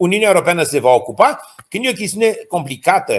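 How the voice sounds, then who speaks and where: Pitch swinging very widely, a man speaks rather quickly. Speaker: geopolitics and diplomacy expert. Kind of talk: interview.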